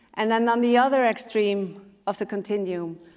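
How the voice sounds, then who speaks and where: In an Icelandic accent, a woman with a fairly high voice talks at a moderate pace and with fairly even intonation. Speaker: speaker and sustainability leader. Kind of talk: conference talk.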